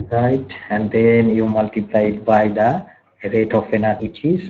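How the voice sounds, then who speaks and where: A soft-spoken man talks at a very slow pace. His pitch is fairly low. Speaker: university lecturer. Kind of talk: online lecture.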